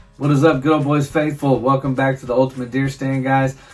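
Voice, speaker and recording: A man's medium-pitched voice, fairly quick and flat in a monotone, over noticeable background noise. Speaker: hunting channel host. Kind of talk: casual vlog narration. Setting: deer stand outdoors.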